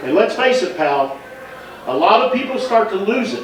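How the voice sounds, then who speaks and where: Amid audible room echo and noticeable background noise, a man's voice swings very widely in pitch. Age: 60s. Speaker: roaster at birthday party. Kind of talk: comedic roast speech.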